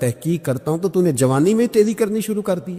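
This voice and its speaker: A man's dark, mellow voice with very wide swings in pitch. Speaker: Islamic preacher giving a bayan. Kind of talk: Islamic sermon (bayan) with storytelling.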